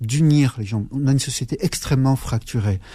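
Against a very clean recording with a silent background, a somewhat breathy voice with a dark, mellow tone speaks at a moderate pace and fairly even intonation. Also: man. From Algeria (Aurès, Chaoui), raised in France from age 7. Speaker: politician. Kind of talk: radio interview. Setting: studio. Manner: halting, many repetitions and fillers.

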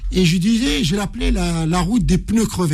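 A man talks at a high pitch and a moderate pace, with pitch that varies in an ordinary way. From Morocco (Casablanca). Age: 60s. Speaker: ultra-distance runner. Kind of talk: interview storytelling.

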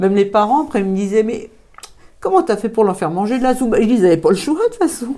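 Her voice is fairly high for a woman, with a dark, mellow tone. The intonation is lively. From France, Thonon-les-Bains (Haute-Savoie). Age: 50s. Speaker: community association founder. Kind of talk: interview. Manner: hesitant, many fillers.

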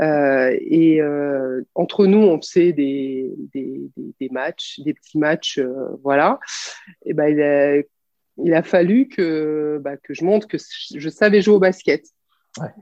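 The delivery is very slow. Pauses are long and frequent. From France, Clermont-Ferrand. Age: 40s. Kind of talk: interview. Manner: hesitant, many fillers.

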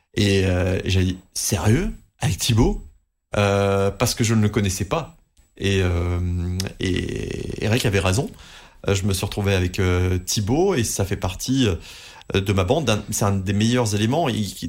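In a very clean recording with a silent background, a man speaks somewhat breathily at a fairly slow pace. His loudness stays very even, with long, frequent pauses. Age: 30s. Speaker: radio host. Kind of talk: interview. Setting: studio.

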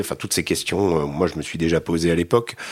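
Very clean audio and total background silence around a man's very deep, low voice, its intonation fairly even. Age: 50s. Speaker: war reporter. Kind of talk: interview. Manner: halting.

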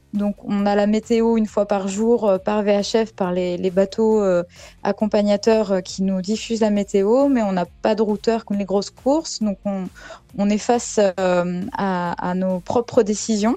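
At a very slow pace, a woman of medium pitch speaks in a dark, mellow tone with fairly even intonation. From Brittany, France (Saint-Malo). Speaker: amateur sailor. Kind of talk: radio interview. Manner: hesitant with fillers.

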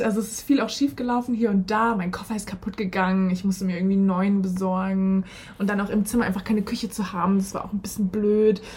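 With noticeable background noise behind her, a woman talks at a very fast pace, her medium pitch held in fairly even intonation. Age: 20s. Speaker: former exchange participant, political science graduate. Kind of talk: casual interview.

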